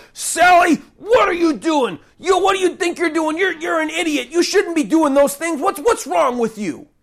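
At a moderate pace and with hardly any pauses, the speaker uses a put-on character voice at an extremely high pitch. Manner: harsh, scolding.

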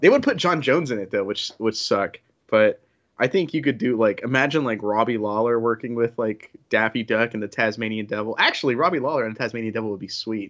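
Talking at a very fast pace, a man with an American accent uses a medium pitch with ordinary variation. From Oklahoma, US. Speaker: MMA podcast co-host. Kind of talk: casual sports preview chat.

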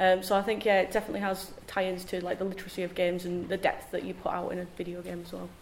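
A woman talks at a very fast pace with hardly any pauses, her intonation monotone and flat, over noticeable background noise. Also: medium pitch for a woman. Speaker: game producer. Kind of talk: panel discussion.

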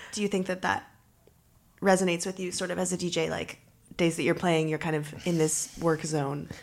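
In an ordinary speaking voice, a woman with a fairly low pitch talks at a fairly quick pace with fairly even intonation and a Canadian accent. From Canada, Toronto. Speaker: journalist and podcast host. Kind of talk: interview.

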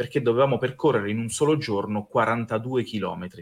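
A man's ordinary speaking voice at a medium pitch, with a fairly quick pace and ordinary pitch variation. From Abruzzo, Italy. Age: 30s. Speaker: pastry chef and fantasy event creator. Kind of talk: podcast interview.

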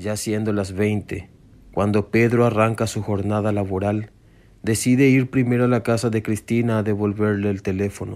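Fairly even intonation at a moderate pace, with few pauses and a slightly mellow tone. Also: man, fairly low pitch for a man.

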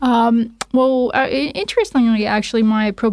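An unremarkable speaking voice from a woman with a Canadian accent, fairly slow and fairly even in intonation, on a very clean recording with a silent background. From Toronto, Canada. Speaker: lawyer and law academic. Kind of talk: casual interview.

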